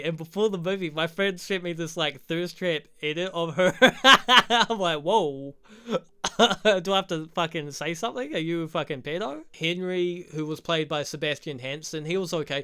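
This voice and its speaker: A man with a New Zealand accent talks at a moderate pace, his high pitch held in fairly even intonation. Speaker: YouTuber, film reviewer. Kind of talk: casual video essay review. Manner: casual, profane.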